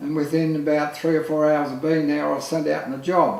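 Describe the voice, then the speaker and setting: A fairly high-pitched man with an Australian accent is heard with audible room echo and noticeable background noise. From Australia, Lismore, New South Wales. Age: 60s. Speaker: photographer. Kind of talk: casual chat. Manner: halting.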